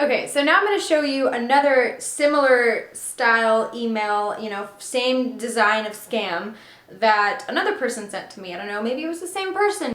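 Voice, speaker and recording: A woman speaks at a high pitch with hardly any pauses, very wide pitch swings and big swings in loudness, with audible room echo and noticeable background noise. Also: moderate pace. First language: Russian and Ukrainian. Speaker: artist, video creator. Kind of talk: casual vlog, reading emails aloud.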